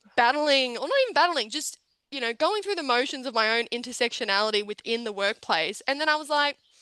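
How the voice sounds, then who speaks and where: An animated, raised and projected voice with an Australian accent and lively intonation. The tone is bright and sharp, the sound dry and close with no echo. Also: woman. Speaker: panelist, young professional. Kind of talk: panel discussion. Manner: loud.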